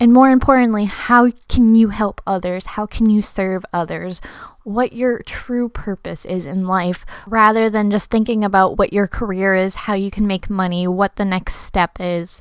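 A woman with an unremarkable speaking voice talks at a moderate pace and medium pitch, her intonation fairly even, on a very clean recording with a silent background. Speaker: podcast host and student entrepreneur. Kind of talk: solo podcast monologue.

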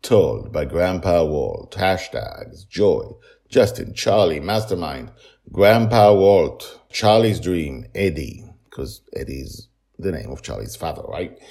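A man's low, dark, mellow voice with vocal fry, slow pace and lively intonation.

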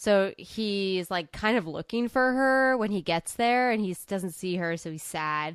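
A woman at a medium pitch, fairly slow yet with hardly any pauses, lively in intonation, against a quiet background. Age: 20s. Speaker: podcast co-host. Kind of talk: casual chat. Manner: animated.

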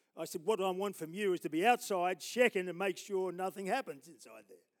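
Someone with an Australian accent speaks at a fairly quick pace in an animated tone, with a dry, close sound and no echo. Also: man. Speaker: preacher. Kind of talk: sermon. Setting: church.

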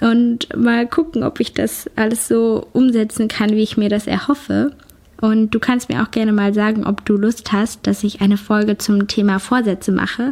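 Somewhat breathy and fairly high in pitch, a woman speaks at a moderate pace with very even loudness and fairly even intonation. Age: 20s. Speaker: YouTuber and podcaster. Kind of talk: casual personal monologue.

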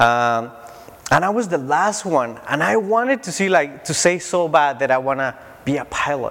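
With a Spanish accent, a man talks at a moderate pace in a fairly high pitch, his intonation lively, over noticeable background noise. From Mexico (Tijuana). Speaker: preacher. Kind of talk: sermon. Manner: halting.

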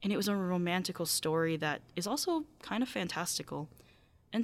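A woman's fairly low-pitched voice with a Midwestern American accent, in a very clean recording with a silent background. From US Midwest. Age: 20s. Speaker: podcast host, college student. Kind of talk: podcast monologue and interview.

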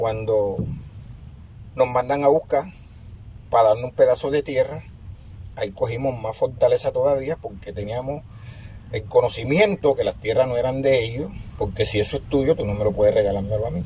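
Long, frequent pauses break up a man's speech, which otherwise moves at a moderate pace. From La Boquilla, Cartagena, Caribbean coast of Colombia. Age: 60s. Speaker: community founder and leader. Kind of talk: testimony. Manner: animated.

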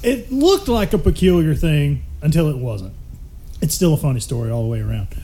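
This man has a Southern US accent. He talks at a fairly quick pace. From Mississippi. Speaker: podcast guest. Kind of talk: casual chat.

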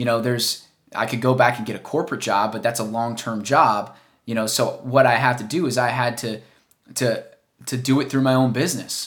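At a fairly quick pace, a man speaks at a medium pitch with fairly even intonation on a very clean recording with a silent background. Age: 20s. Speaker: podcast host and entrepreneur. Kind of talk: solo monologue podcast. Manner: hesitant, many fillers; unscripted, from the heart.

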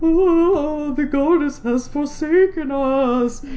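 This is a put-on character voice with a high pitch. It moves at a very slow pace. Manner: wailing, depressed.

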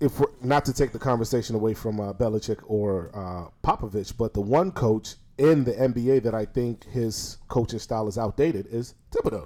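On a very clean recording with a silent background, a man's dark, mellow tone sits at a medium pitch with ordinary pitch variation. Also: moderate pace. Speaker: podcast co-host. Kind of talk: casual banter podcast.

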